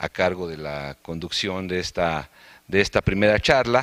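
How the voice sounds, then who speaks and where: On a very clean recording with a silent background and a dry, close sound with no echo, a man speaks at a fairly slow pace in a very deep, low pitch. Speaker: colloquium organizer. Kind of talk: formal welcome speech. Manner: halting with fillers.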